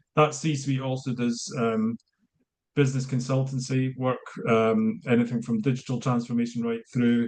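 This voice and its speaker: With a Scottish accent, a man speaks at medium pitch in a dark, mellow tone. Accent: Scottish, consciously slowed. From Scotland. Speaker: business consultant. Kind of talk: online networking introduction. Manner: hesitant, many fillers.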